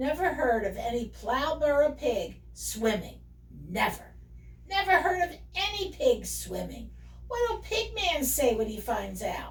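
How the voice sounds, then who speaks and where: Put-on character voice from a woman, fairly slow, with light background noise. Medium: read story.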